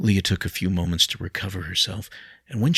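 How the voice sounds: What you hear is a natural reading voice.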